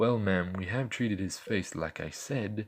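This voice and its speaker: The man's speech moves at a moderate pace. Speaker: amateur narrator. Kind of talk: horror story reading. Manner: occasional stutters.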